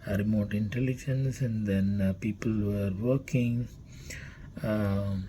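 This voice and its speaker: A man with a Keralan accent, fairly low in pitch, with a dark, mellow, somewhat breathy tone, fairly even intonation and a fairly slow pace. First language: Malayalam. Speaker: company CEO. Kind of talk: company introduction talk. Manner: halting, many fillers.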